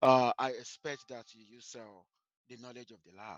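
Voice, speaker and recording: Speaking at a moderate pace in a Nigerian accent, a man with a medium pitch has a bright, sharp tone against a quiet background. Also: dry, close sound with no echo. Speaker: university statistics lecturer. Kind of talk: lecture. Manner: hesitant, many fillers and repetitions.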